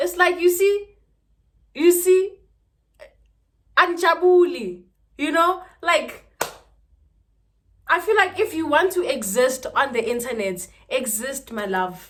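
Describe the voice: A woman's high-pitched voice at a slow pace, broken by long, frequent pauses. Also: lively intonation, fairly bright tone.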